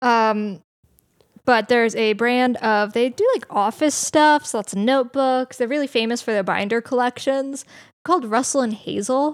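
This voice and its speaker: Pitch shifts in an ordinary way. The delivery keeps a moderate pace. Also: woman, very clean recording, silent background. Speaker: podcast co-host. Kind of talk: casual chat.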